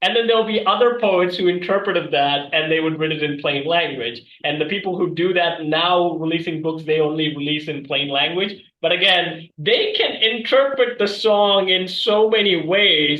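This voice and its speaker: A man talks with hardly any pauses. His pitch is high for a man. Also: ordinary pitch variation, moderate pace. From Sri Lanka. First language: Tamil. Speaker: podcast host. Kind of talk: casual chat.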